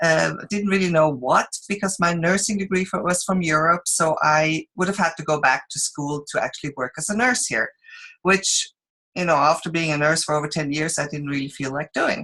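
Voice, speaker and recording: With a Swiss accent, a woman talks at a moderate pace in a fairly low pitch, her tone bright and sharp and her pitch variation ordinary. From Switzerland. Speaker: direct sales presenter. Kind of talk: business opportunity presentation. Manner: halting, many fillers.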